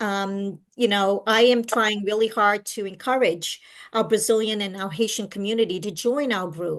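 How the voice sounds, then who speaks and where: A woman with a fairly high pitch speaks at a moderate pace with ordinary pitch variation against a quiet background. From Portuguese-speaking country, immigrant to US. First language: Portuguese. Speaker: walking club leader. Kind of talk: interview.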